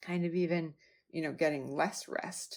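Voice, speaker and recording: A woman speaks in a Wisconsin accent on a very clean recording with a silent background. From US Midwest, Wisconsin. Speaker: health coach podcast host. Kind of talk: podcast monologue. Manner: casual, conversational.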